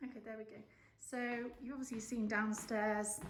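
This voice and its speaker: With an English accent, a woman speaks in a somewhat breathy voice and fairly even intonation amid audible room echo. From England. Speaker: home renovation vlogger. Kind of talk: casual vlog house tour. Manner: casual, many fillers.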